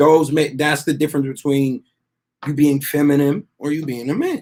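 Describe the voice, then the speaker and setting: A man with an American accent has a plain, everyday voice, fairly high in pitch. He talks at a moderate pace with fairly even intonation. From Texas. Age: 30s. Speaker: guest joining live call. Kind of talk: debate discussion.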